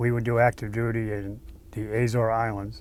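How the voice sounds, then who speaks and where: A man with an Eastern New England accent, fairly low in pitch, with monotone, flat intonation. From Natick, Massachusetts. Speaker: Navy veteran. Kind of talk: interview answer.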